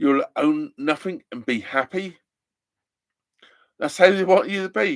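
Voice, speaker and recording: A man with an English accent at a moderate pace, very wide pitch swings, dry and close sound with no echo. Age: 60s. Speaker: narrowboat vlogger. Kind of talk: live stream chat. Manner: animated.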